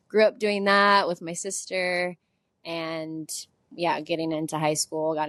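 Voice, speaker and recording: A woman with an American accent speaks at a moderate pace, her pitch fairly low and her intonation fairly even. It is an unremarkable speaking voice, recorded with a dry, close sound and no echo. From US South, Nashville, Tennessee. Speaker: dance teacher and business co-owner. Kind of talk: casual interview.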